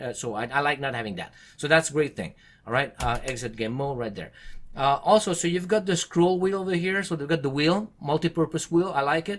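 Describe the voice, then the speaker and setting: Talking at a fairly quick pace with lively intonation, a man with a fairly high pitch speaks in a French Canadian accent. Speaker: tech reviewer. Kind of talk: product review to camera. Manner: fast.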